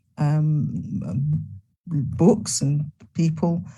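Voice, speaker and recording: A woman with an English accent speaks at a very deep, low pitch, her dark, mellow tone somewhat breathy, with audible room echo. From England. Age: 70s. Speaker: retired nursing professor. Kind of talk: interview.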